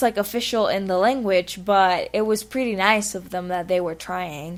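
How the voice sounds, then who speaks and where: Against a very clean recording with a silent background, a woman with a Spanish accent speaks at a medium pitch. Her pace is fairly slow and her intonation lively. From Spanish-speaking country. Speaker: vlogger. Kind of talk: personal vlog monologue.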